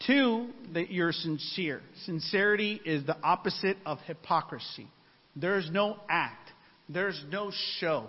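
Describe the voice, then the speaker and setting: This man's pitch is high, with ordinary variation. He talks at a fairly slow pace. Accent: slight Spanish. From Mexican-American, US. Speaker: preacher. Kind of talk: sermon. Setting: church singles ministry gathering with audience.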